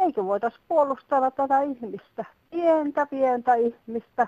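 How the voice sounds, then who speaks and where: A high-pitched woman speaks at a fairly slow pace with lively intonation. The sound is dry and close, with no echo. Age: 50s+. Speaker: caller. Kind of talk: phone-in call.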